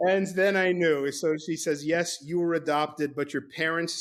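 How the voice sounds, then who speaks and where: Fairly even intonation in a slight New York accent, on a very clean recording with a silent background. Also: man. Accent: faint New York. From New York (Brooklyn), teens in Mexico City. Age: 60s. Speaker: author. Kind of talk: podcast interview, storytelling. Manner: halting, repeats words.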